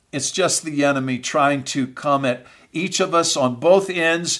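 A man's fairly high voice at a fairly slow pace. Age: 50s. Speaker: pastor. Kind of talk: motivational podcast talk to ministry leaders. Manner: frequent fillers and repetitions; energetic.

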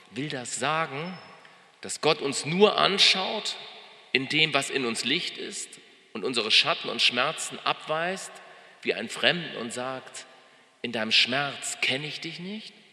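Over noticeable background noise, a man with a fairly high pitch and a warm, gentle tone talks at a very slow pace with long, frequent pauses. His intonation is lively and his loudness swings widely. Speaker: pastor. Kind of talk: sermon, delivered live to a congregation. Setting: church.

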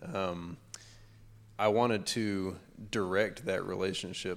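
Fairly low in pitch, this man speaks with a Southern US accent. His intonation stays fairly even. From Georgia (US). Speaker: panel guest, married man. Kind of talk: panel discussion. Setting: stage with audience.

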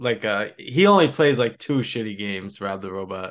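A man speaks in an ordinary speaking voice at a medium pitch. His pace is moderate, and the background is quiet. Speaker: podcast host. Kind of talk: casual chat.

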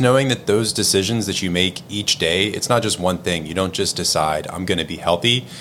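A man speaks at a fairly quick pace with hardly any pauses, his pitch very deep and low. His tone is bright and sharp, with ordinary pitch variation. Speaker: podcast co-host. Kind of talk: casual conversational podcast discussion.

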